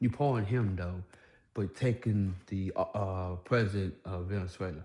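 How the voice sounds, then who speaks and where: An American-accented man with a fairly low, somewhat breathy voice at a moderate pace, over a quiet background. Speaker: YouTuber commentator. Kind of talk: casual rant vlog. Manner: halting.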